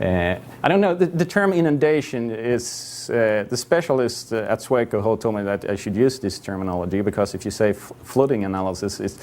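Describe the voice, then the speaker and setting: A man speaks in a Swedish accent at a fairly low pitch. His intonation is lively, with light background noise. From Sweden. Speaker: GIS consultant; conference presenter. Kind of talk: conference presentation. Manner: halting. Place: hall.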